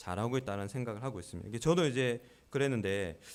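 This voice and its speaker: A man at a very fast pace. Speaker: pastor. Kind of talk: sermon. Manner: calm; raised pitch when preaching.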